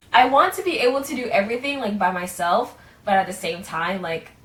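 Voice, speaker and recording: Against noticeable background noise, a woman at a medium pitch talks at a moderate pace with ordinary pitch variation. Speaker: aspiring singer-songwriter vlogger. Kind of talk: casual vlog monologue. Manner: many filler words, hesitant.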